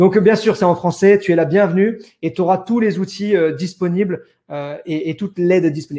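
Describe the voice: A man talks at a fast pace with a high pitch, a dark, mellow tone and ordinary pitch variation.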